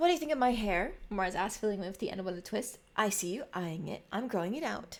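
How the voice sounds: Someone reads in a natural voice. The delivery has lively intonation.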